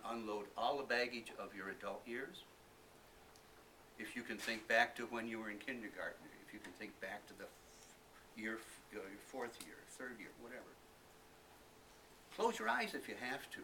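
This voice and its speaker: With noticeable background noise behind him, a man of medium pitch speaks at a moderate pace, his intonation fairly even, his loudness swinging widely and his speech broken by long, frequent pauses. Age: 70s. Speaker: library patron reading aloud. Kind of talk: reading aloud; casual talk to audience. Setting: library event with audience.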